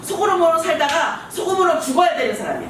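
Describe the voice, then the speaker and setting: The voice comes through noticeable background noise and audible room echo. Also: woman. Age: 60s. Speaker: pastor. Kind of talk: sermon.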